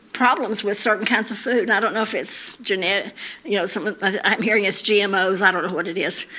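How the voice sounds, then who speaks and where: Fairly quick in pace, a woman speaks with ordinary pitch variation. Noticeable background noise and audible room echo fill the recording. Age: 80s+. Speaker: women's day speaker. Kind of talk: talk to church women's gathering. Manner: halting, repeats words.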